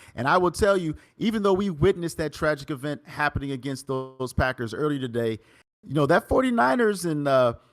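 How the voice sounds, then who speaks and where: With music in the background, a man with a fairly high pitch speaks at a fairly quick pace with lively intonation. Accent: American. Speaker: esports commentator. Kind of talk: live commentary wrap-up. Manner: animated.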